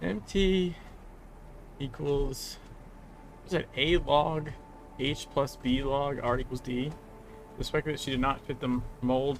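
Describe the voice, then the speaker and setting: A man speaks at a fairly high pitch with ordinary pitch variation, at a fairly slow pace. Long, frequent pauses break up his speech against noticeable background noise. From moved around the US, born in California. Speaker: gaming streamer. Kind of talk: casual gameplay commentary. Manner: halting, many fillers.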